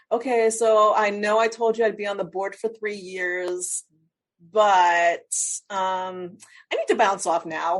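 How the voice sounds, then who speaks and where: Quiet background behind a woman with a normal speaking voice. Her pitch is medium, her pace fairly slow and her intonation fairly even. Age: 50s. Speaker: life strategist. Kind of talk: interview.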